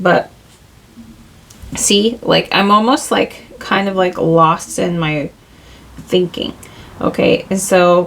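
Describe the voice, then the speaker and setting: With noticeable background noise, a woman of medium pitch speaks at a very slow pace, leaving long, frequent pauses, with ordinary pitch variation. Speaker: tarot reader. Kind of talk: tarot reading. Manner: rambling, halting; casual, conversational.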